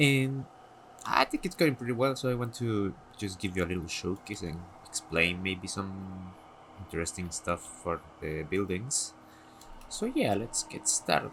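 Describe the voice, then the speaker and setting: A man with a non-native accent talks at a moderate pace in a fairly low pitch. His intonation is lively, and he takes long, frequent pauses. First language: not English. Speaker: gaming content creator. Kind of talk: casual tutorial showcase. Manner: halting, hesitant.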